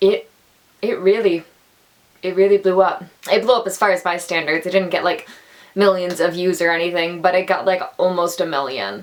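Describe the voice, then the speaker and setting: A woman with a medium-pitched voice speaks at a moderate pace, her intonation fairly even and her speech broken by long, frequent pauses. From Atlantic Canada. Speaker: actor, theatre student. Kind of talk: casual talk to camera.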